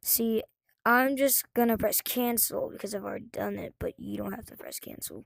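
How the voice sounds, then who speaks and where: A woman's voice with big swings in loudness, dry and close with no echo. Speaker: gaming tutorial youtuber. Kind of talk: tutorial. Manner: fast; casual, halting with fillers.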